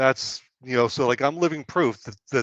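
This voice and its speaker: A man talks in a plain, everyday voice at a medium pitch, with ordinary pitch variation. The sound is dry and close with no echo, over a quiet background. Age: 60s. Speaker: financial educator. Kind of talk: webinar discussion. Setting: live stream.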